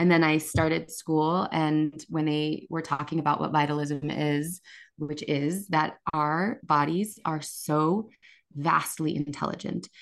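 A woman's very deep, low voice at a fairly slow pace, fairly even in intonation, over a quiet background. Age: 40s. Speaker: nurse and herbalist, ceremony facilitator. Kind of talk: casual interview.

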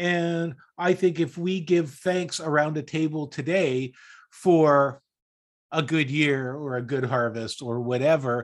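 Here a man with a Canadian accent uses a normal speaking voice at a fairly high pitch with ordinary pitch variation. He speaks at a fairly slow pace, with a quiet background. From Canada, Toronto area. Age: 60s. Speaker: podcast co-host. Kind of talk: casual chat.

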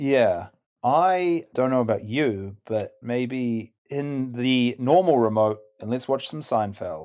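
This man talks at a very slow pace, his pitch in the middle range. His intonation is lively. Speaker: comedy show assistant. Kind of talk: casual game play. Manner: jolly.

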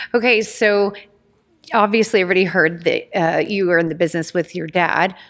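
A woman at medium pitch, moderate pace and ordinary pitch variation. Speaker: podcast host. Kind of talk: casual chat. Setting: in person. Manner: animated.

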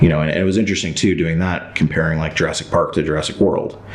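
A man's very deep, low voice at a very fast pace, with fairly even intonation, audible room echo, and noticeable background noise. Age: 30s. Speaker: screenwriter. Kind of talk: interview. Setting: studio.

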